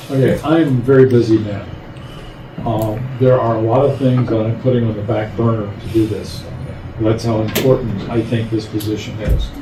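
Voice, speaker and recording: Over noticeable background noise and audible room echo, a man speaks in a monotone, flat intonation. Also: medium pitch for a man, moderate pace. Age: 80s+. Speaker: clerk position applicant. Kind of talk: job interview at public meeting. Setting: county commissioners meeting.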